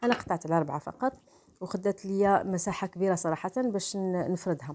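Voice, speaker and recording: The woman's pitch is medium and shifts in an ordinary way. She keeps a moderate pace. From Morocco. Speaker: cooking channel host. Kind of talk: cooking tutorial voice-over. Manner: halting, frequent restarts and fillers.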